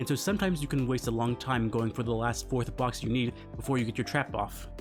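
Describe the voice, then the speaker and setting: Very fast speech from a man at medium pitch, ordinary pitch variation, music behind him. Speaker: gaming video creator. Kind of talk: video game commentary. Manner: low energy.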